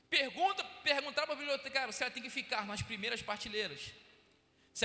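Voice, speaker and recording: Raised, projected voice from a man, bright and sharp in tone, with audible room echo. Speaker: deacon preaching as guest. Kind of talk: sermon. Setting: church.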